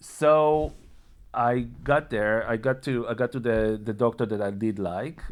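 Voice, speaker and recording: A man with an Israeli accent, medium in pitch with ordinary variation, on a very clean recording with a silent background. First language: Hebrew. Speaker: vlogger sharing personal health story. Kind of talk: personal testimony monologue. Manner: halting, many repetitions and fillers.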